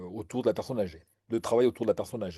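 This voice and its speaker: Against a quiet background, a man's dark, mellow tone carries fairly even intonation. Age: 60s. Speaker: retired general practitioner. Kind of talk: interview. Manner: halting, many fillers and repetitions.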